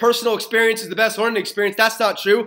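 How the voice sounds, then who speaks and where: A man speaks in a raised, projected voice at a high pitch. His tone is animated, bright and sharp. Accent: American. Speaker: network marketer. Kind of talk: motivational talk. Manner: fast.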